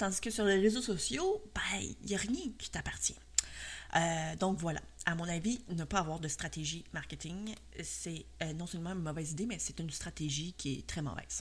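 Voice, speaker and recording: A woman with a Quebec accent at a moderate pace. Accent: Québécois French. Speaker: podcast host and cake design instructor. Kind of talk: solo podcast monologue. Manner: hesitant, many fillers.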